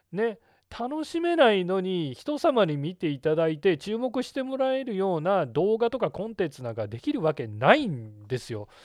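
A man's high voice with very wide pitch swings. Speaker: podcast host, video marketing consultant. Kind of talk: solo podcast talk. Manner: casual, many filler words.

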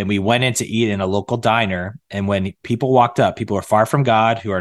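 An ordinary speaking voice at a fairly quick pace with fairly even intonation, dry and close with no echo, over a quiet background. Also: man. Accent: American. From north central Massachusetts. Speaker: pastor and church network leader. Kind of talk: podcast interview.

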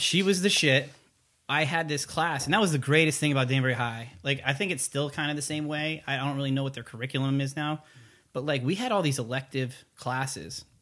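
A man with an American accent speaks at a fairly quick pace in a bright, sharp tone, his pitch fairly high with ordinary variation. The recording is very clean, with a silent background. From Connecticut, US. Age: 30s. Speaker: army recruiter. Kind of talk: casual chat.

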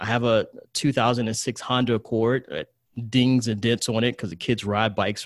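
A man with an American accent talks at a fairly quick pace in an ordinary speaking voice. His pitch is medium, and the sound is dry and close with no echo. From US South, rural Virginia. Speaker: investor and trader. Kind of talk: interview.

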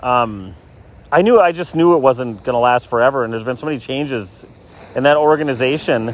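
Here a man speaks at a medium pitch. He goes at a fairly quick pace with ordinary pitch variation. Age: 40s. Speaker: podcaster and musician. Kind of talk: casual solo monologue. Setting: outdoors on a beach.

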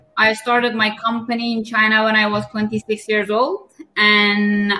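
A woman's fairly high voice with a bright, sharp tone, fairly even intonation and a Persian accent. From Iran. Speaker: entrepreneur. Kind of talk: casual chat. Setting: online audio room.

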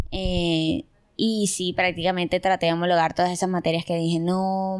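A woman with an ordinary speaking voice and medium pitch speaks at a moderate pace on a very clean recording with a silent background. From Colombia, Barranquilla. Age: 20s. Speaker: university student. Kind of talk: casual interview.

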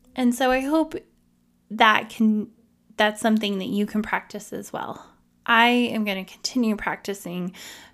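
A woman's fairly high voice at a fairly slow pace, ordinary pitch variation, an unremarkable speaking voice, very clean recording and silent background. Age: 30s. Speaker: podcast host. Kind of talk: solo podcast monologue.

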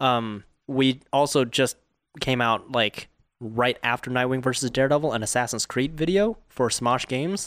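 A man with an American accent has an unremarkable speaking voice at a medium pitch, with ordinary pitch variation and very even loudness. He speaks at a moderate pace in a very clean recording with a silent background. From Southern California, Orange County. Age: 20s. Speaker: filmmaker. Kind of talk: casual chat. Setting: studio.

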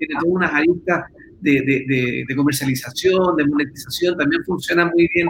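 A man talks with a Chilean accent at a fairly quick pace. His pitch sits fairly high for a man. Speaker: podcast host. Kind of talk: casual chat.

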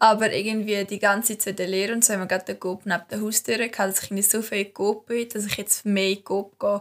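A woman speaks at a very fast pace in a fairly high pitch. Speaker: student podcast co-host. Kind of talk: casual chat.

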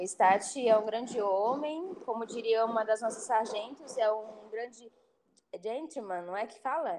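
A normal speaking voice from a woman, fairly high in pitch, at a fairly slow pace, with ordinary pitch variation and big swings in loudness. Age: 30s. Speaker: HR worker in logistics, former soldier. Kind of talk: casual chat.

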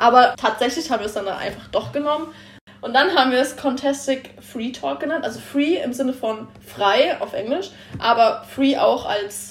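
A woman speaks at a moderate pace in a high voice, with ordinary pitch variation. Noticeable background noise runs underneath. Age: 20s. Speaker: trainee car mechatronics technician. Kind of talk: casual chat.

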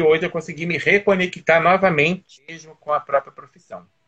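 A bright, sharp tone comes through at a fairly quick pace. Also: man. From Teresópolis, Rio de Janeiro state, Brazil. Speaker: nurse and former municipal health official. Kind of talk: interview on a live stream.

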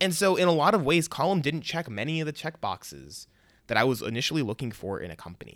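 With a Chicago-area accent, a man speaks at a very fast pace, his fairly high pitch swinging very widely and marked by vocal fry, on a very clean recording with a silent background. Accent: Chicago-area American English. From US Midwest, Chicago suburbs. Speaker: podcast host, civic technologist. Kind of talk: personal story monologue. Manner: casual.

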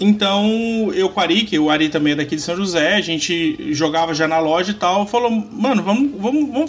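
The man's voice is high and his intonation lively. He keeps a moderate pace. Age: 30s. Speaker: podcaster and card game content creator. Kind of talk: casual chat.

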